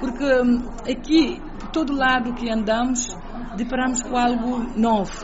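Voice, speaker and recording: A high-pitched woman's voice with audible room echo and crowd noise in the background. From Cape Verde, Fogo island. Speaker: presidential press officer. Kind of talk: radio interview.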